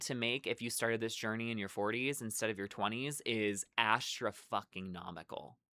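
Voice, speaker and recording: At a fairly quick pace, someone talks with an American accent in a very clean recording with a silent background. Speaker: vlogger on careers and personal finance. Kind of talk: casual monologue to camera. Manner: loud, heated rant; halting, many fillers and restarts.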